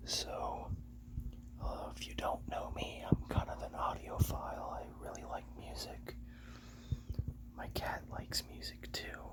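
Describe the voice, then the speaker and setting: Someone whispers at a fairly slow pace with long, frequent pauses, with noticeable background noise behind. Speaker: ASMR creator. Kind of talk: ASMR soft spoken. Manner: soft-spoken.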